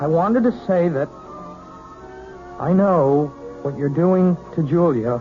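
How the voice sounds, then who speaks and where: Music plays in the background as a man speaks very slowly with lively intonation. His pauses are long and frequent. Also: fairly high pitch for a man. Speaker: young piano student. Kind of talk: vintage radio mystery drama.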